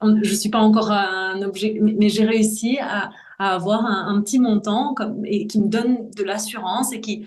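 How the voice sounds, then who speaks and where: A woman's fairly high, somewhat breathy voice, flat and monotone at a moderate pace, with audible room echo. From Brussels, Belgium. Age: 40s. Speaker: voice-over artist. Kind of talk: interview testimony. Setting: podcast.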